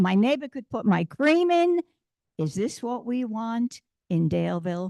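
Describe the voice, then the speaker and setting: Moving at a moderate pace, the voice makes very wide pitch swings, with a dry, close sound with no echo and a quiet background. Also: woman. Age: 80s+. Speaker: citizen speaking at public hearing. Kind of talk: public comment at council meeting. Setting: county board meeting room.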